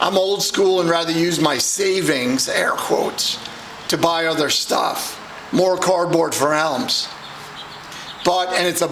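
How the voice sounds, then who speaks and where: A man in an American accent at a high pitch and a fairly slow pace, with audible room echo and noticeable background noise. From New York. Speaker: card collector. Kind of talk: casual pack-break vlog.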